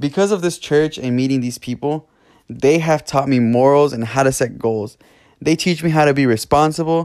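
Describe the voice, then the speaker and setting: A man speaks in a normal speaking voice, fairly high-pitched and at a fairly quick pace with ordinary pitch variation. The recording is very clean, with a silent background. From California. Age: 20s. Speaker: podcast host. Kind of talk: personal monologue.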